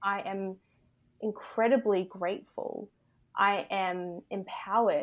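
A woman with an Australian accent speaks at a very slow pace, with long, frequent pauses and fairly even intonation. Her pitch is medium, and the recording is very clean with a silent background. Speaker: embodiment and confidence coach. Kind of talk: casual interview chat.

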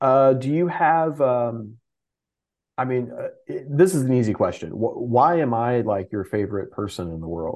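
A man with an American accent and an unremarkable speaking voice talks at a moderate pace and medium pitch. His intonation is lively, and the background is quiet. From Texas. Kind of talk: casual chat. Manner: casual, filler-heavy.

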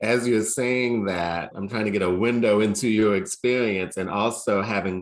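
A man with a plain, everyday voice, fairly low in pitch, at a moderate pace with fairly even intonation, in a quiet background. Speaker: school head, interviewer. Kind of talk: interview.

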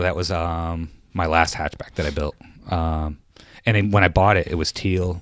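On a very clean recording with a silent background, a man with an American accent speaks at a moderate pace. His voice is very deep and low, with monotone, flat intonation. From upstate New York. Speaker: retired Air Force veteran, car enthusiast. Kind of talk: casual chat. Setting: studio.

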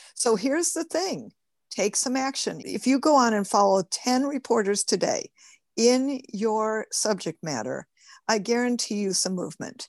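A woman with an American accent talks at a moderate pace with a fairly high pitch and lively intonation. Her sound is dry and close with no echo, over a quiet background. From Michigan, US. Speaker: publicity strategist and author. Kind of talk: interview, teaching tips. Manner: animated.

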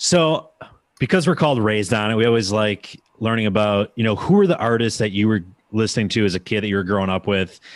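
Over a very clean recording with a silent background, a man with an Upper Midwest accent talks at a very fast pace in a fairly low pitch with ordinary pitch variation. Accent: Upper Midwest American. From US Midwest. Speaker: podcast host. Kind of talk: casual interview chat.

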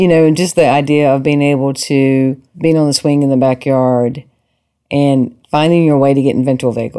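A woman with a Southern US accent speaks in a very deep, low pitch with a dark, mellow tone. Her loudness stays very even at a moderate pace. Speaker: podcast host and psychotherapist. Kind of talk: casual interview conversation. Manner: warm, enthusiastic.

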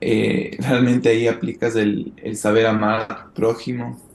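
A very slow speaker with a monotone, flat delivery. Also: man. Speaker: church youth leader in training. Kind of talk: interview. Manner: halting, many repetitions.

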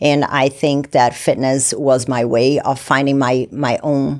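With a Portuguese accent, a woman speaks at a very deep, low pitch in a very clean recording with a silent background. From Brazil. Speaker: fitness coach and former bikini competitor. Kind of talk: casual interview chat.

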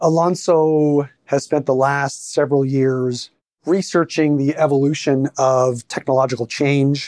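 A man's plain, everyday voice, fairly high and fairly even in intonation, at a fairly slow pace with a dry, close sound and no echo. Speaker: podcast host and investment manager. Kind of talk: interview conversation.

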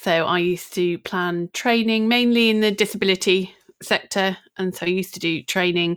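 A woman speaks in an ordinary speaking voice at a medium pitch and moderate pace. Her intonation is fairly even, and the sound is dry and close with no echo. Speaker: social media business coach. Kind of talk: casual interview chat.

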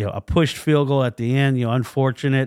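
A plain, everyday voice from a man at medium pitch and moderate pace, dry and close with no echo, on a very clean recording with a silent background. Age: 40s. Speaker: sports podcast host. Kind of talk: casual solo podcast commentary.

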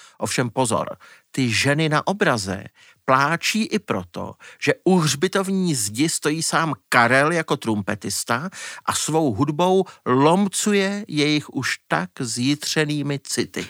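A man's fairly high voice at a very slow pace, with very wide pitch swings, in a dry, close sound with no echo and a very clean recording with a silent background. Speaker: music journalist. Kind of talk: podcast conversation.

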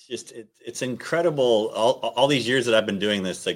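A man with a normal speaking voice talks at a moderate pace, his pitch medium with ordinary pitch variation. The recording is very clean with a silent background. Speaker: podcast host. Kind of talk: interview conversation.

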